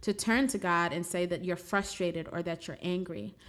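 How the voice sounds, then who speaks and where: With an American accent and an ordinary speaking voice, a woman talks at a moderate pace in a fairly low pitch for a woman, with ordinary pitch variation, in a very clean recording with a silent background. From New York City (Brooklyn). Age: 20s. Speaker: podcast host, criminal defense attorney. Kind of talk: reflective spiritual monologue.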